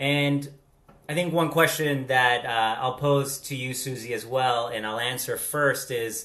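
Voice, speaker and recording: In an American accent, a man with a bright, sharp tone and medium pitch talks at a fairly slow pace, with audible room echo. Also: fairly even intonation. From Latin America. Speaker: vlog co-host. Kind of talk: casual chat. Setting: video call.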